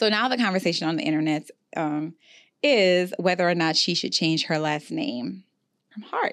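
Speaking at a moderate pace with lively intonation, a woman has a plain, everyday voice and a fairly low pitch. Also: quiet background. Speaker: podcast host. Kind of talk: casual chat. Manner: chatty, conversational.

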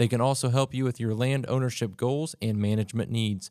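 Using a normal speaking voice, a man speaks at a medium pitch with fairly even intonation. The recording is very clean and silent in the background, with a dry, close sound and no echo. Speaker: podcast host. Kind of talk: interview.

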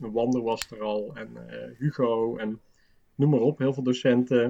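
The man speaks at a fairly slow pace. His intonation is flat and monotone. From Limburg, Netherlands. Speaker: design teacher. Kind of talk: casual chat.

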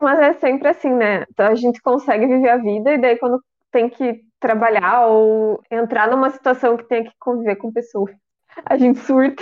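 At a moderate pace, a woman speaks with a high pitch and fairly even intonation. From Rio Grande do Sul, Brazil. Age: 30s. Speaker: podcast co-host. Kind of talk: casual chat.

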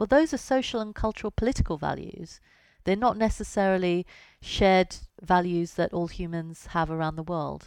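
The recording is very clean, with a silent background. A woman talks at a moderate pace and medium pitch, her pitch varying in an ordinary way. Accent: British. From Britain. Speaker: science journalist and author. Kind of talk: interview.

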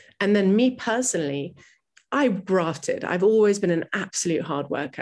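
A woman with a normal speaking voice talks at a moderate pace. Her intonation is lively. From US, New York City. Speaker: travel journalist. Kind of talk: interview.

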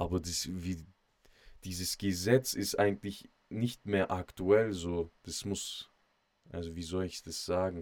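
A very slow pace with long, frequent pauses, big swings in loudness and fairly even intonation. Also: man, very deep, low pitch for a man. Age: 20s. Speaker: podcast host. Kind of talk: casual monologue.

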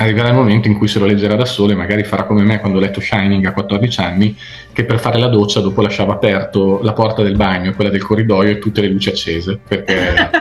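Speaking at a very fast pace, a man uses a fairly low pitch, monotone, flat intonation and very even loudness over noticeable background noise. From Italy, Emilian Apennines (Zocca). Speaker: crime novelist. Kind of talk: interview.

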